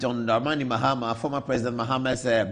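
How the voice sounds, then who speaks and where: Over a quiet background, a man at a medium pitch talks at a very fast pace. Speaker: TV news show host. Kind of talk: TV show presenting.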